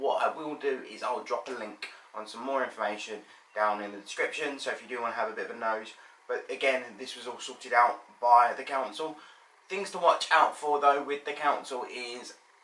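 Loudness swings a lot as a man speaks at a fairly quick pace. His pitch varies in an ordinary way, and room echo is audible. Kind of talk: casual vlog chat. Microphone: phone near.

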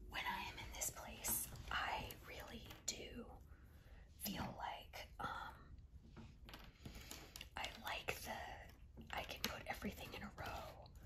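A woman whispers very slowly, with long, frequent pauses. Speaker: ASMR creator. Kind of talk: ASMR talk while doing a jigsaw puzzle. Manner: whispered. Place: home room.

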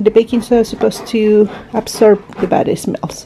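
A woman with a non-native accent speaks at a moderate pace and a fairly high pitch. There is light background noise. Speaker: home vlogger. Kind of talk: casual vlog talk to camera. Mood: calm, relaxed. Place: home room. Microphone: phone near.

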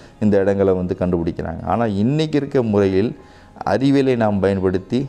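His pitch shifts in an ordinary way. The man's voice sits fairly low. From Tamil Nadu. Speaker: archaeologist; interviewee. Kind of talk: interview. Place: home room. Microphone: lapel.

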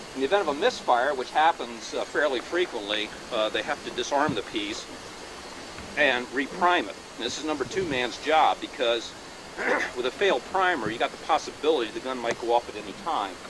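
Amid noticeable background noise, a man talks at a fairly quick pace, the sound dry with no echo. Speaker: reenactment narrator. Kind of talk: demonstration commentary to audience. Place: open country.

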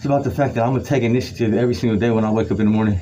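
A man over light background noise. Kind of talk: motivational talk during a workout. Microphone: phone near.

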